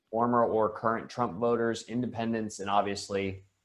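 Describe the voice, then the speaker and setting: Talking at a moderate pace, a man with a fairly low pitch speaks in an American accent. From Florida. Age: 20s. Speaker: political candidate. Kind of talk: video call interview. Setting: video call. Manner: hesitant with many fillers.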